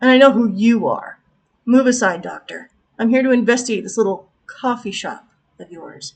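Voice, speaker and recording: A woman's gruff, put-on character voice, fairly high in pitch, at a moderate pace. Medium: read story. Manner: gruff, curt.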